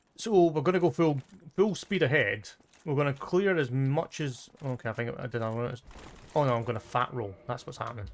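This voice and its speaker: The speaker talks at a fairly quick pace with lively intonation in an English accent, and the recording is very clean with a silent background. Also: man, medium pitch for a man. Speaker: gaming streamer. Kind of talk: live gameplay commentary. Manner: fast.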